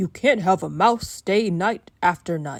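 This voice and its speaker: A woman growls in a put-on character voice at a medium pitch. She keeps a fairly slow pace. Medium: read story.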